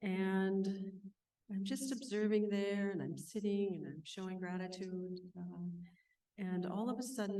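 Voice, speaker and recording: With an American accent, a woman speaks in a dark, mellow and calm tone at a moderate pace, with audible room echo. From Northwest Minnesota, Ojibwe reservation. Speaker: mindfulness teacher and counselor. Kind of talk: conference talk. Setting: stage with audience at conference. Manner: calm, reflective.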